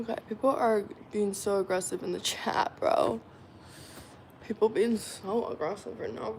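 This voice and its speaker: A woman talks with a Southern Californian accent. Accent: Valley Girl. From Arizona. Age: 20s. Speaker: live streamer. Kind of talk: casual live stream chat. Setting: live stream. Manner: animated.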